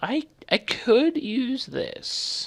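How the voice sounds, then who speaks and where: A high-pitched, put-on character voice with very wide pitch swings. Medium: actual play.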